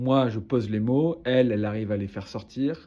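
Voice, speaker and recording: A man's dark, mellow voice at a fairly slow pace over a quiet background. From southern France, Toulouse. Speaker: relationship advice creator. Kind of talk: advice monologue to camera. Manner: casual, hesitant with fillers.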